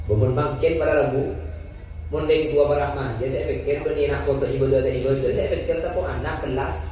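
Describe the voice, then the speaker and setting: Talking fairly quickly, a man is heard amid noticeable background noise and audible room echo. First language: Madurese (speaking Indonesian). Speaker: Islamic preacher. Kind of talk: sermon. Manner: humorous, lively.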